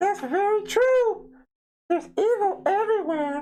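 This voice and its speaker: A squeaky, put-on character voice sits at an extremely high pitch. It moves along at a moderate pace. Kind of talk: spooky show host. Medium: solo performance. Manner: amused, laughing.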